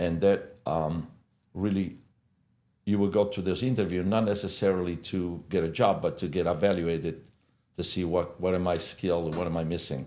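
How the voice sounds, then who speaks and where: A man with an Italian accent, very deep and low in pitch, dark and mellow in tone, at a moderate pace. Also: fairly even intonation. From Italy. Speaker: hairdresser and salon owner. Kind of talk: podcast interview. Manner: halting, many fillers.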